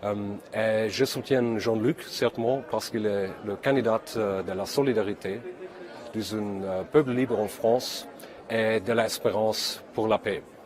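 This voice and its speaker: A man speaks in a medium pitch at a very slow pace. Noticeable background noise runs behind him. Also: fairly even intonation. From Germany. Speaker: politician. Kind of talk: video message of support. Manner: halting.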